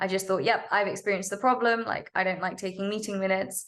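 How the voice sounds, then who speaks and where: The speech comes at a very fast pace with vocal fry. Intonation stays monotone and flat. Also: woman. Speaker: startup founder. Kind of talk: podcast interview.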